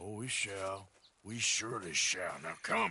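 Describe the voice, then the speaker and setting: A man puts on a character voice that is raspy and fairly low in pitch. He speaks at a fairly slow pace. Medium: video game. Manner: dry, laconic.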